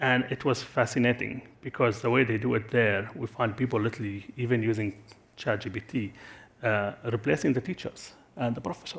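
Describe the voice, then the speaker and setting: Somewhat breathy and medium in pitch, a man speaks at a fairly quick pace with fairly even intonation. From Syria. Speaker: tech company executive. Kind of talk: conference panel Q&A. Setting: stage with audience. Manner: halting, many fillers and restarts.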